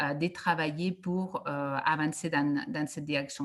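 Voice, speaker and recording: Over a quiet background, a woman speaks at a very deep, low pitch with ordinary pitch variation. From Catalonia, Spain (Reus, near Barcelona). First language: Catalan or Spanish (speaking French). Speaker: education researcher. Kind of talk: conference talk. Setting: video call. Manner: hesitant, many fillers.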